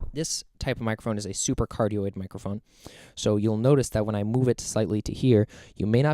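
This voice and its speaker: A man with fairly low pitch and a dark, mellow tone talks at a very fast pace, sounding dry and close with no echo on a very clean recording with a silent background. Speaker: student. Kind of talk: tutorial. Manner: hesitant with fillers; soft-spoken.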